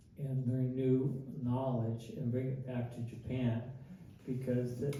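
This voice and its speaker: In an American accent, the speaker goes at a fairly slow pace amid audible room echo and noticeable background noise. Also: man. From Northern California (Winters, Yolo County). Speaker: community speaker. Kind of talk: public talk. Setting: museum talk with audience. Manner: halting, many fillers.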